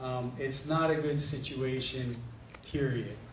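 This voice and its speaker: A soft-spoken man at a fairly slow pace, fairly even in intonation, with audible room echo and noticeable background noise. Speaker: political candidate. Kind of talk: candidate forum answers. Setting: community meeting with microphone, streamed online.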